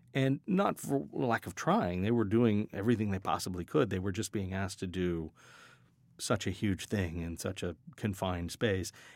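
On a very clean recording with a silent background, a man speaks in a plain, everyday voice at a moderate pace, fairly low in pitch with ordinary pitch variation. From US West, Colorado and Hawaii. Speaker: sound design professor. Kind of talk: interview. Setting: studio.

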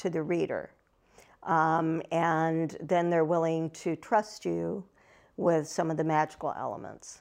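This woman has a Midwestern American accent. She talks at a very slow pace against a quiet background. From Ohio. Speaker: fantasy novelist. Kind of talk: interview.

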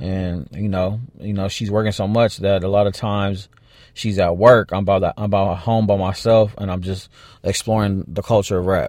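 In a very clean recording with a silent background, a man with a fairly low pitch speaks at a moderate pace with fairly even intonation. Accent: American. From Los Angeles (South Central / Walnut, California). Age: 30s. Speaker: music manager. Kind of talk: casual interview.

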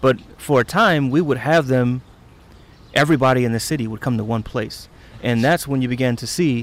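In a plain, everyday voice, a man talks at a fairly quick pace and a medium pitch. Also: ordinary pitch variation. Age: 40s. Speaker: community member, son of the elder. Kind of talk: interview conversation.

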